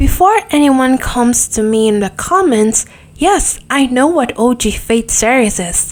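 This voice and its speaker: A woman with a non-native accent speaks at a high pitch. Her intonation is lively and her pace moderate. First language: not English. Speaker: gaming YouTuber. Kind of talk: casual video review monologue.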